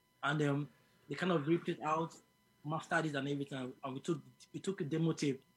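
Speaking very fast but with long, frequent pauses, a man uses a somewhat breathy, fairly high voice in a flat monotone. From Nigeria, Lagos. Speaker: musician. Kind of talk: interview.

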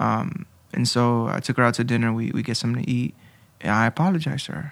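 A man speaks very fast in a bright, sharp tone at medium pitch, with ordinary pitch variation. The recording is very clean, with a silent background. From Honduras. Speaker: church member sharing testimony. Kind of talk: testimony. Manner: halting.

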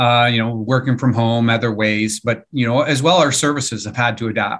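A man's ordinary speaking voice with a Canadian accent, medium in pitch, at a moderate pace and with fairly even intonation, over a quiet background. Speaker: podcast host and IT executive. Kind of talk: interview.

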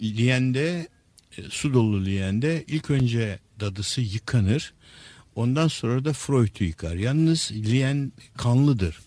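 A man speaks very slowly. His tone is dark and mellow. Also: medium pitch for a man, lively intonation, very even loudness. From Istanbul, Turkey. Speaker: neuropsychiatrist and author. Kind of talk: radio interview, lecture-like explanation. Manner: hesitant with frequent filler sounds.

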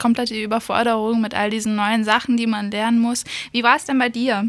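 On a very clean recording with a silent background, a woman with an English accent speaks at a fairly high pitch. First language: English (speaking German). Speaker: radio host, cultural volunteer. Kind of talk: interview. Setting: radio studio.

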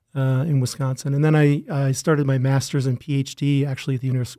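Speaking at a very fast pace in an Upper Midwest accent, a man with a fairly high pitch and a dark, mellow tone keeps a monotone, flat intonation. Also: dry, close sound with no echo. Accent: Upper Midwest American. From Minnesota (Rochester). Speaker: plant breeder professor. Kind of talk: podcast interview.

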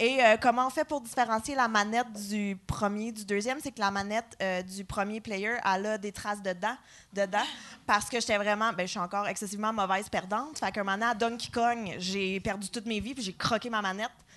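A woman with an ordinary speaking voice talks at a fairly quick pace and a fairly high pitch against a quiet background. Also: fairly even intonation. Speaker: comedian. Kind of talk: live podcast chat. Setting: stage with audience.

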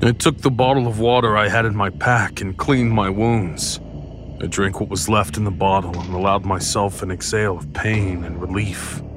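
With music in the background, a man with a fairly low pitch speaks at a moderate pace and ordinary pitch variation. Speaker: audio drama narrator. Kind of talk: scripted first-person horror narration. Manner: measured, eerie, suspenseful.

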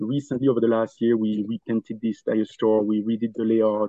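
A man speaks at a moderate pace in a Belgian accent. His pitch sits in the medium range. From Belgium. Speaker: furniture store owner. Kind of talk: casual interview chat.

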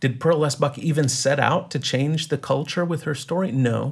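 His voice somewhat breathy, a man speaks with ordinary pitch variation on a very clean recording with a silent background. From East Texas. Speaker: writer and film teacher. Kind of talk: interview conversation.

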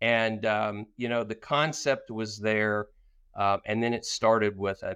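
An unremarkable speaking voice from a man, fairly low in pitch and at a fairly slow pace, over a quiet background. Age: 50s. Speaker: business owner and author. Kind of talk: interview.

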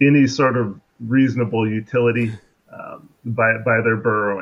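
A man with an American accent, medium-pitched, at a fairly slow pace. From US Pacific Northwest, Seattle. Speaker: crayfish researcher. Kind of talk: interview, educational explanation.

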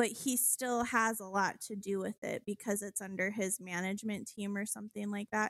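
A woman speaks in a plain, everyday voice, fairly high in pitch, at a moderate pace. Her intonation is fairly even, and the sound is dry and close with no echo. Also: very clean recording, silent background. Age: 20s. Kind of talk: casual chat. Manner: laughs often.

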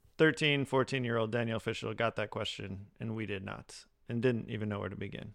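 In a very clean recording with a silent background, a man with an unremarkable speaking voice talks fairly quickly at a medium pitch with ordinary pitch variation. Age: 40s. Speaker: podcast co-host. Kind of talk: casual chat.

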